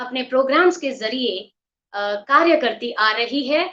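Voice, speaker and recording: In a raised, projected voice, a woman speaks at a high pitch with lively intonation and a bright, sharp tone. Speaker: webinar host and dubbing director. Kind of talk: webinar host introduction. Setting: online webinar.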